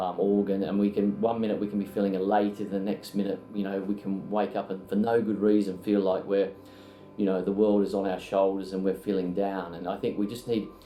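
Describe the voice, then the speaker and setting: A fairly low-pitched man at a fairly quick pace, his intonation monotone and flat. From Australia. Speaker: accountancy firm founder. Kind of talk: interview testimonial. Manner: hesitant, many fillers.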